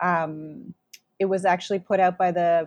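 At a fairly slow pace, a woman with a plain, everyday voice speaks at a medium pitch, the sound dry and close with no echo. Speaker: academic researcher. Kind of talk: interview, explanatory.

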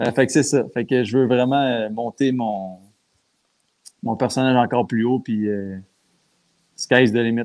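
Long, frequent pauses break up a fairly slow delivery. The intonation stays fairly even. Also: man, medium pitch for a man. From Quebec. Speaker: pro wrestler. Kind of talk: casual chat.

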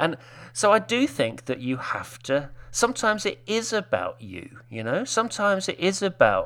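A man talks at a moderate pace. He speaks with a British accent. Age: 50s. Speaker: web designer. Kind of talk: casual chat.

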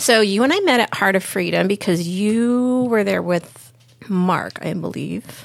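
A woman speaks in a normal speaking voice with an American accent, at medium pitch with ordinary pitch variation. Her pace is fairly slow. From Lakewood, California. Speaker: freedom advocate. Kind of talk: casual chat.

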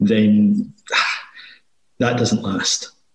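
A man talks with a Glasgow accent. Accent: Scottish (Glasgow). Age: 30s. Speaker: financial planning firm owner. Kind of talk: interview.

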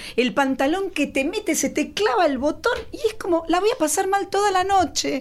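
With lively intonation and an extremely high pitch, a woman speaks at a moderate pace, her loudness very even and her pauses few. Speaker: comedian. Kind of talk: comedic casual chat.

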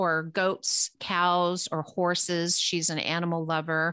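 At a very slow pace, a woman with a Californian accent speaks in a fairly low pitch with a bright, sharp tone, the sound dry and close with no echo in a very clean recording with a silent background. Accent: Californian American. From Los Angeles, US West Coast. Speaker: psychic medium, podcast co-host. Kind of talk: casual chat.

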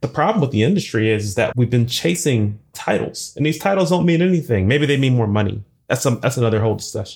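This voice is somewhat breathy and has lively intonation. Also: man. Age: 40s. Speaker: software engineer and conference speaker. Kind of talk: interview.

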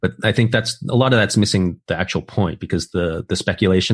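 With an unremarkable speaking voice, a man talks at a fairly quick pace and a fairly low pitch with ordinary pitch variation against a quiet background. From US, moved from Taiwan as an infant. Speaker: technologist and entrepreneur, former video game developer. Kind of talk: casual interview. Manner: repetitive, with frequent fillers.

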